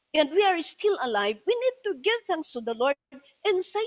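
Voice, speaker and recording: In a Filipino accent, a woman speaks at an extremely high pitch with very wide pitch swings, recorded dry and close with no echo. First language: Tagalog. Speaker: bishop preacher. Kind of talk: sermon. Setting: church service, also streamed online. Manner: code-switching Tagalog and English.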